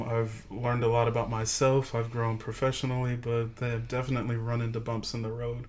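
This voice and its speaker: A man talks in a monotone with flat intonation, and the room echo is audible. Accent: American. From Augusta, Georgia (US South), military brat. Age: 20s. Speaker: podcast guest, friend of host. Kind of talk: casual chat.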